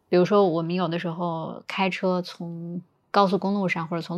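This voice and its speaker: The speaker is a woman with a fairly low voice. She keeps a monotone, flat intonation. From Northeast China, Changchun. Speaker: podcast guest. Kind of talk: casual chat. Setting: recording while on a business trip in Hangzhou.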